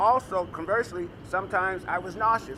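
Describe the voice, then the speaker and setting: With noticeable background noise behind him, a man talks at a fairly quick pace in a high pitch, keeping his intonation fairly even. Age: 60s. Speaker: patient advocate. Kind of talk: press conference speech. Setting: press conference. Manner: halting.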